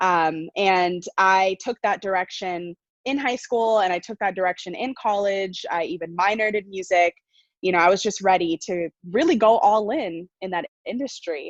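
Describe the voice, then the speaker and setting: Energetic in tone, a woman at medium pitch speaks at a moderate pace with ordinary pitch variation, in a dry, close sound with no echo against a quiet background. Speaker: coach and entrepreneur. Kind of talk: interview.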